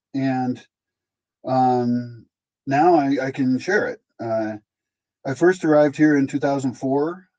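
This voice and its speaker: A man's fairly high pitch and dark, mellow tone, with an American accent, a very slow pace, ordinary pitch variation, and long, frequent pauses. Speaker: founder of a sustainable living project. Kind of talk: casual interview talk. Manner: animated.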